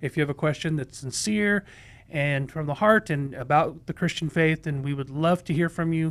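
His pitch moves with ordinary variation. The man keeps a moderate pace. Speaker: pastor hosting a Bible Q&A show. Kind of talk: livestream program host talk. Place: studio. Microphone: studio mic.

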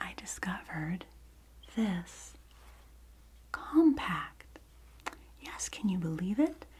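A soft-spoken woman talks at a very slow pace. Light background noise sits behind her. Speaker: video creator. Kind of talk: soft-spoken role-play show-and-tell, ASMR-like. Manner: soft-spoken ASMR roleplay voice. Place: home room. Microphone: phone near.

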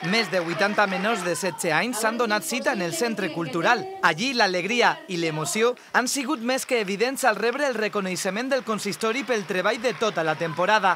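With music playing behind, the speaker keeps a moderate pace. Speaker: news reader. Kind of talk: news reading.

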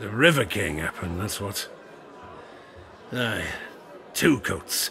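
In a put-on character voice, a man speaks raspy and fairly low at a fairly slow pace over clear background noise. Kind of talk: dockside tavern yarn. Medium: audio drama. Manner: rambling, folksy, confiding.

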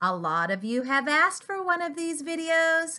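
A woman's bright, sharp, upbeat and playful tone with very wide pitch swings over a quiet background. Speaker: speech-language pathologist. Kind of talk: children's therapy play demo to camera. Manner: upbeat, playful. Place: home room. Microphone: webcam.

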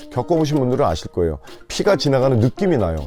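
Music plays in the background as a man talks in a relaxed tone at medium pitch, his voice making very wide pitch swings. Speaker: voice actor and TV narrator. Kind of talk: interview answer, promotional testimonial. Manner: relaxed, conversational.

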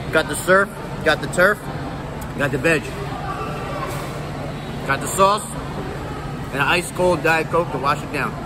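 Speaking at a moderate pace with ordinary pitch variation, a man leaves long, frequent pauses amid noticeable background noise. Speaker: food vlogger. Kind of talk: casual vlog chat. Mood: playful, relaxed. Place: hall. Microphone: phone near.

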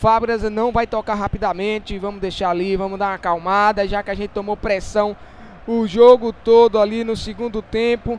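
This man talks at a moderate pace with a high pitch and a flat, monotone intonation. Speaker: gaming YouTuber. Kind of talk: gameplay commentary.

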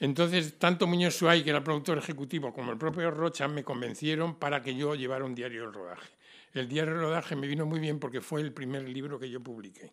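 Against a quiet background, a man talks at a very fast pace with a fairly high pitch and ordinary pitch variation. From Spain. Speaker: screenwriter and writer; speaker. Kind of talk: tribute speech. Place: hall. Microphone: podium.

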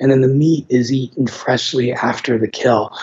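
A man speaks at a moderate pace with a somewhat breathy sound. His intonation is monotone and flat. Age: 50s. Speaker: infectious disease physician; guest. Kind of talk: interview. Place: home room. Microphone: video call.

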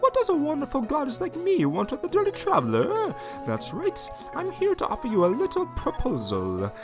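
A man's put-on character voice, extremely high and fairly quick, over clear background music. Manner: silly, exaggerated.

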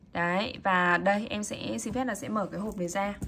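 A woman speaks in a sing-song way with a bright, sharp tone. Light background noise can be heard. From Vietnam. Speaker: watch seller. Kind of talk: sales pitch. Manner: animated street-seller patter, upbeat and repetitive, urging viewers to subscribe; emphatic, repeats words for effect, chatty and sing-song. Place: shop. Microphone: phone near.

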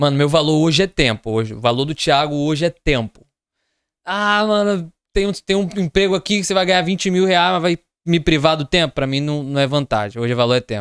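In a plain, everyday voice, a man with fairly high pitch speaks fairly quickly, his intonation lively and the sound dry with no echo. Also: quiet background. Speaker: podcast co-host. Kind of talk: casual chat. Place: studio. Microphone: studio mic.

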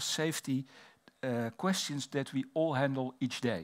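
Against a quiet background, a man speaks at a fairly slow pace with a Dutch accent. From Netherlands. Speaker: fire safety researcher and fire officer. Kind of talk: conference presentation. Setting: stage with audience. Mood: calm, respectful. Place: hall. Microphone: headset.

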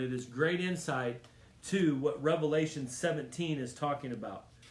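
A somewhat breathy man at a moderate pace with ordinary pitch variation and audible room echo. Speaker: preacher. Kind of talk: Bible study teaching turning into a fervent sermon, with prayer. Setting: church Bible study, streamed video. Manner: urgent, emphatic, repeating lines for punch; warm and exhortative, directly addressing the audience. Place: home room. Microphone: phone near.

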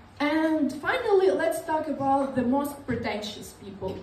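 A woman with an Eastern European accent, high pitch, a dark, mellow tone and lively intonation at a fairly slow pace, with audible room echo and light background noise. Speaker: stand-up comedian. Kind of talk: stand-up comedy. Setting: stage with audience. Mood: ironic, deadpan sarcasm. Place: stage.

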